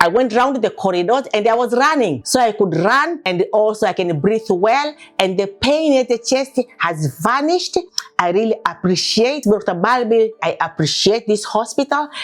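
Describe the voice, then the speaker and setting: With very even loudness and lively intonation, a woman with a fairly high pitch speaks at a moderate pace over noticeable background noise. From Tanzania, Dar es Salaam. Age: 60s. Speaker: patient. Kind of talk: testimony.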